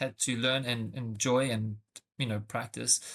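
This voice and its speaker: In a very clean recording with a silent background, a man with a South African accent talks at a moderate pace, his bright, sharp voice showing ordinary pitch variation. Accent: South African, noticeable. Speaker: tech sales rep. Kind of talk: interview podcast. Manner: hesitant, many fillers.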